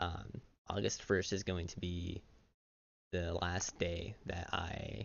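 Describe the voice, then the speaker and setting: A soft-spoken man with a very deep, low pitch, vocal fry and ordinary pitch variation, at a very slow pace with long, frequent pauses. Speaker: YouTuber. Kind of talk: personal vlog monologue. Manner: halting, many fillers.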